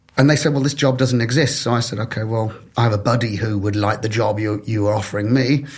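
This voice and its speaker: A man with a Birmingham accent speaks at a very fast pace and medium pitch. Noticeable background noise can be heard. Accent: Birmingham (Brummie). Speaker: developer relations professional. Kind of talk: podcast interview.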